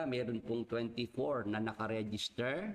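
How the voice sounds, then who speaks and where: Over noticeable background noise, the speaker uses ordinary pitch variation. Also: man. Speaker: Bible study host. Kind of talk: Bible study livestream. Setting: live stream. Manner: halting.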